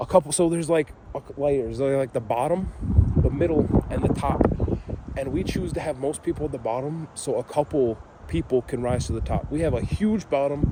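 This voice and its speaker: Noticeable background noise behind a man's fairly high voice, moderate in pace, with ordinary pitch variation. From northern Michigan (Gaylord). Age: 20s. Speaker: vlogger. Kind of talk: casual monologue. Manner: rambling, halting with fillers.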